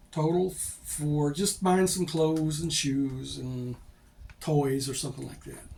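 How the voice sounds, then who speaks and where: Here a man speaks at a fairly slow pace. His pitch is fairly high, with ordinary variation. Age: 60s. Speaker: expat vlogger. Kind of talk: casual monologue vlog. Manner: halting.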